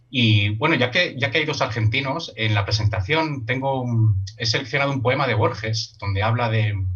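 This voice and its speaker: A man at medium pitch with ordinary pitch variation, moderate pace and hardly any pauses, amid audible room echo and noticeable background noise. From Spain. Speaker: workshop leader. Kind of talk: online workshop discussion.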